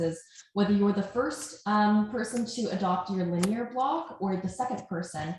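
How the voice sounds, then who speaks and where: A woman at medium pitch and a moderate pace, ordinary pitch variation, noticeable background noise. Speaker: nonprofit operations manager. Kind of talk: webinar presentation. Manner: loud.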